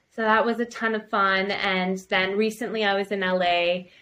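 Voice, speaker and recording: In a Canadian accent, a woman delivers monotone, flat intonation at medium pitch with a bright, sharp tone. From Canada. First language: bilingual French and English. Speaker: actress and producer. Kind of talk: interview.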